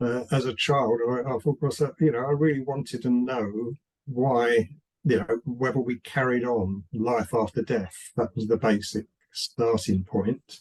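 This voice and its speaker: Dry and close with no echo, the clip has a man with a British accent speaking fairly slowly at a medium pitch with fairly even intonation. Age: 70s. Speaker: writer. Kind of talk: interview. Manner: halting, with many repeated words.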